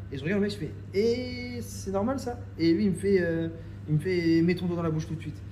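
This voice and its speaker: A man's fairly high voice at a fairly quick pace, very wide pitch swings, audible room echo and noticeable background noise. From France, Reims. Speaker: film director. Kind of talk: casual interview chat. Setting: coworking office.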